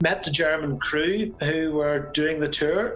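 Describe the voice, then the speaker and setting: Fairly high male voice with a Belfast accent, fairly slow pace and ordinary pitch variation, over noticeable background noise. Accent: Belfast Northern Irish. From Northern Ireland, Belfast. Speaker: former car salesman and stage crew worker. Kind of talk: interview storytelling.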